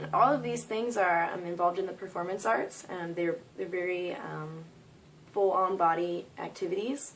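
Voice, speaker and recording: A woman with an American accent speaks at a moderate pace and medium pitch. She has an unremarkable speaking voice with ordinary pitch variation. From US Northeast (New York). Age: 20s. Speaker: art student and body painter. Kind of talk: self-introduction video. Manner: frequent filler words.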